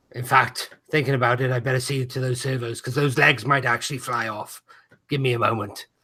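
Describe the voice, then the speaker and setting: A man uses a raspy, put-on character voice at a medium pitch. He talks at a fairly quick pace with monotone, flat intonation. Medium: actual play. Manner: wry, joking.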